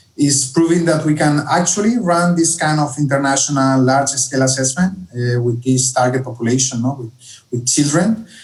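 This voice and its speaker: A man with a fairly high pitch speaks at a fairly quick pace in a somewhat breathy voice. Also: ordinary pitch variation. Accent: Spanish. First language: Spanish. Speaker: education policy analyst. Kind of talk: online conference Q&A.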